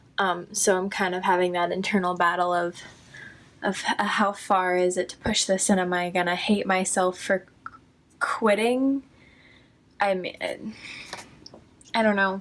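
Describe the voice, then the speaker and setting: A woman speaks at a fairly slow pace with long, frequent pauses, her medium pitch held in fairly even intonation. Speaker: vlogger. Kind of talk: personal vlog monologue. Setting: at home. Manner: halting, self-interrupting.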